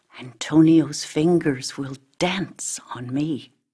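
Putting on a character voice, a woman speaks slowly and low in pitch, her tone dark and mellow with a slightly husky edge and ordinary pitch variation.

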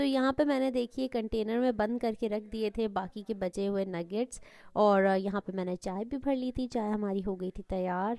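A woman with a dark, mellow tone at a fairly high pitch, ordinary pitch variation, a moderate pace and hardly any pauses, on a very clean recording with a silent background and a dry, close sound with no echo. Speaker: cooking vlogger. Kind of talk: cooking tutorial vlog narration.

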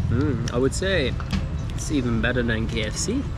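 A man is talking. Loud background noise is present. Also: dry sound with no echo. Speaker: travel food vlogger. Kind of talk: casual vlog chat. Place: market. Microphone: phone near.

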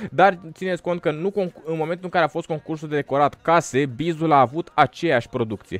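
Talking fairly quickly in an animated tone, a man shows ordinary pitch variation in a dry recording with no echo. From Romania. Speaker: gaming YouTuber. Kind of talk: gameplay commentary. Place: home room. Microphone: studio mic.

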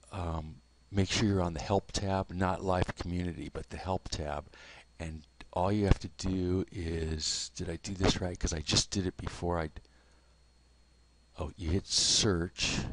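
Soft-spoken, flat, monotone delivery comes at a fairly slow pace with long, frequent pauses. The background is quiet. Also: man, very deep, low pitch for a man. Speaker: software tutor. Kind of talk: tutorial. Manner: halting.

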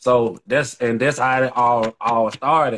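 Intonation stays monotone and flat as a man talks. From Birmingham, Alabama, US South; Alabama. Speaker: independent rapper; guest. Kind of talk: casual interview. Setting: social media live video. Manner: halting, repeats words. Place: home room. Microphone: video call.

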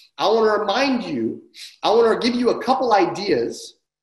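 The voice belongs to a man. The room adds an audible echo. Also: quiet background. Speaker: sales coach. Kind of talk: training talk to an online audience. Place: home room. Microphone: webcam.

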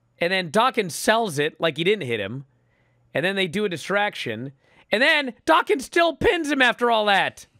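This man's raised, projected voice sits at a high pitch, animated and full of very wide pitch swings, with a dry, close sound and no echo. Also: moderate pace. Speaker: pro wrestling podcast host. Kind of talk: casual chat. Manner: loud, yelling.

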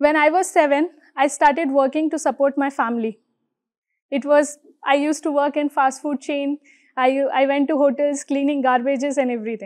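Against a quiet background, a woman talks at a high pitch and a fairly quick pace, with fairly even intonation. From India, Mumbai. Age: 20s. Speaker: motivational speaker. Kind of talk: inspirational talk on stage. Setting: stage with audience. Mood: proud, warm, reflective. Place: studio.

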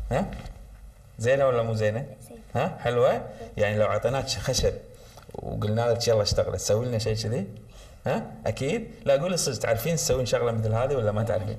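With a Kuwaiti accent, a man talks at a moderate pace. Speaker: children's TV presenter; TV presenter. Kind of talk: children's TV show, talking with schoolgirls. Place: studio. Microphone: lapel.

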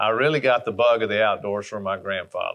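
A man talks with an Alabama accent. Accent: Southern US (Alabama). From US South, Alabama. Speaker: hunting brand ambassador. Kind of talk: storytelling monologue. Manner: folksy, conversational. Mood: warm, nostalgic storytelling. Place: home room.

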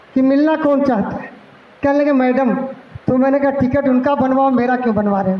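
The speaker moves at a moderate pace with fairly even intonation and very even loudness. Room echo is audible. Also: man, extremely high pitch for a man. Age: 50s. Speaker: cleric and party leader. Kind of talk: political speech. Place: hall. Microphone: podium.

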